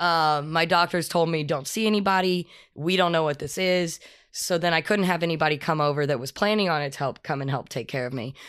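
A woman with an American accent speaks at a fairly quick pace in a fairly low voice with ordinary pitch variation. She has an unremarkable speaking voice, on a very clean recording with a silent background. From Texas. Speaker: painter and art teacher. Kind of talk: casual chat.

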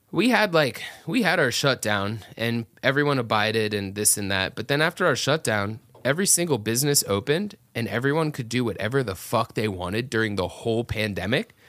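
A man with an American accent and an ordinary speaking voice, medium pitch and lively intonation, hardly any pauses, on a very clean recording with a silent background. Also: fairly quick pace. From US South, Atlanta area. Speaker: metal band singer. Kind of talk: casual chat. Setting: studio, in person.

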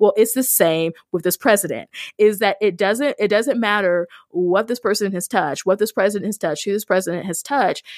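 A woman's normal speaking voice with an American accent, medium in pitch with ordinary variation, at a fairly quick pace, in a dry, close, echo-free and very clean recording with a silent background. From rural US. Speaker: podcast host and ministry worker. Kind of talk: casual chat.

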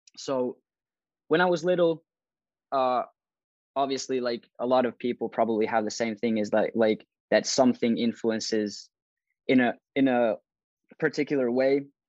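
With a Finnish accent, a man talks at a moderate pace in a medium pitch with ordinary variation and long, frequent pauses. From Finland. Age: 20s. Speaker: fashion YouTuber. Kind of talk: interview.

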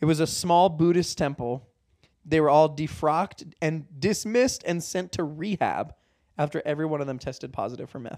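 At a moderate pace, a man talks in an unremarkable speaking voice. His pitch is fairly high, and its variation is ordinary. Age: 20s. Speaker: podcast co-host. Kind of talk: casual chat.

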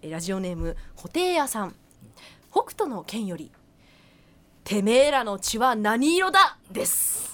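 A woman with a fairly high pitch talks at a fairly slow pace, taking long, frequent pauses. Her pitch swings very widely and her loudness shifts in big swings. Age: 20s. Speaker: radio co-host. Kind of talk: casual radio chat.

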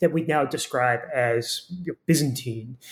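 A man speaks with an American accent at a moderate pace. His voice is somewhat breathy. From Florida. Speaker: historian. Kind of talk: academic interview.

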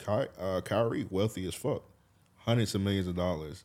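In an ordinary speaking voice, a man talks at a moderate pace, his fairly low pitch varying in an ordinary way. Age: 30s. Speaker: podcast host. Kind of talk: casual chat.

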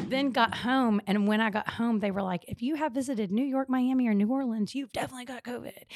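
An animated woman with an American accent at a very fast pace, fairly high-pitched, with ordinary pitch variation and hardly any pauses. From central Texas (Temple, Austin). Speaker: social entrepreneur. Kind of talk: casual chat.

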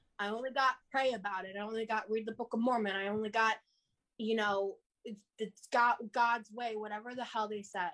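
Speaking at a moderate pace, a woman has a fairly high pitch. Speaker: author and social media influencer. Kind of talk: casual interview. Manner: energetic.

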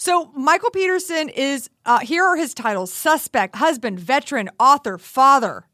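A woman with an American accent speaks in a raised, projected voice at a moderate pace, her pitch high and swinging very widely with an animated tone. The tone is bright and sharp, the sound dry and close with no echo, and there are hardly any pauses. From Texas. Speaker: comedian and podcast host. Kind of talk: casual chat.

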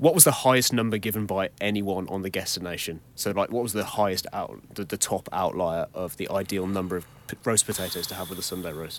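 A man's ordinary speaking voice at a fairly low pitch, with ordinary pitch variation, a fairly quick pace and hardly any pauses. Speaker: quiz statistician co-host. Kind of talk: quiz explanation.

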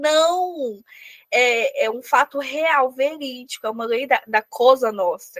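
A woman at a fairly slow pace, in a dry, close sound without echo. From Minas Gerais, Brazil. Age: 20s. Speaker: novelist. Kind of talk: casual chat. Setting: studio.

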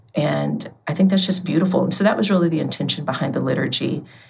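A woman's voice with vocal fry. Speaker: book contributor and nonprofit marketing director. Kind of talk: podcast interview. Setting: remote call.

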